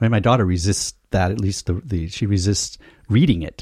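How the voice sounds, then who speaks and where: A somewhat breathy, dark, mellow voice with an American accent at a moderate pace, dry and close with no echo, on a very clean recording with a silent background. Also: man. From United States. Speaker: podcast panelist. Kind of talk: casual chat. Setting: studio.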